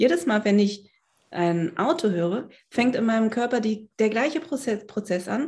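Somewhat breathy, a woman speaks at a fairly high pitch and moderate pace with lively intonation. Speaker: psychiatrist and body psychotherapist. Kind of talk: interview conversation.

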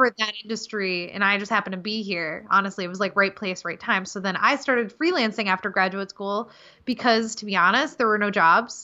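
A woman with an ordinary speaking voice and medium pitch talks at a fairly quick pace with ordinary pitch variation and hardly any pauses. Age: 30s. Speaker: web designer and copywriter. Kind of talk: podcast interview.

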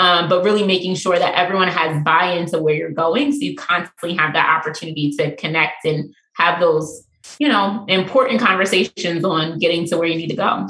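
Speaking at a fairly quick pace, a woman uses a normal speaking voice with an American accent. Her pitch is fairly low, with ordinary variation. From Pennsylvania. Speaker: real estate investor. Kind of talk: interview.

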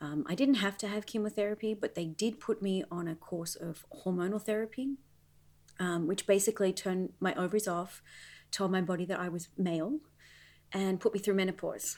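In a very clean recording with a silent background, a woman with an Australian accent talks fairly quickly at a medium pitch with ordinary pitch variation. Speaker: mom and former professional dancer. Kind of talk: casual interview.

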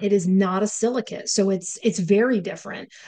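A fairly quick, medium-pitched woman's voice with ordinary pitch variation. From upstate New York. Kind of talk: casual chat podcast.

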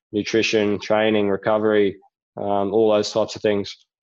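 Against a quiet background, someone with an Australian accent speaks at a moderate pace with monotone, flat intonation. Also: man. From Australia, Rockhampton, Queensland. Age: 20s. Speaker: speedway rider and riding coach. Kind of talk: interview.

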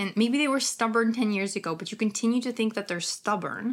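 In a very clean recording with a silent background, a woman with a Ukrainian accent speaks in an animated tone. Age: 30s. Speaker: skincare professional and podcaster. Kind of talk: casual solo podcast talk, live stream. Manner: animated, casual, laughs often, swears.

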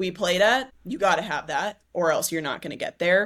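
Pitched fairly low, a woman talks in a plain, everyday voice with an American accent. Her pace is moderate, and her pitch variation is ordinary. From US West Coast, San Diego. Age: 20s. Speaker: activewear company founder, former college volleyball player. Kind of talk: casual interview conversation.

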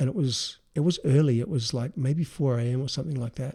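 A man with an Australian accent, a dark, mellow tone and fairly high pitch, at a fairly quick pace in a very clean recording with a silent background. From Adelaide, South Australia. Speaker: design business founder. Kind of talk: casual interview.

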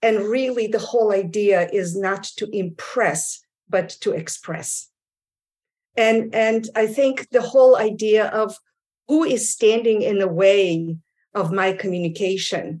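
A woman with a normal speaking voice and a fairly high pitch talks at a fairly slow pace with ordinary pitch variation. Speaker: communication and pronunciation coach. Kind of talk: professional panel discussion.

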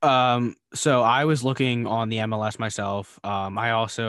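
With an ordinary speaking voice and an American accent, a man talks in a medium pitch with fairly even intonation against a quiet background. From Philadelphia area, US. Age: 20s. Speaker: real estate investor, co-host. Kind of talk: casual interview.

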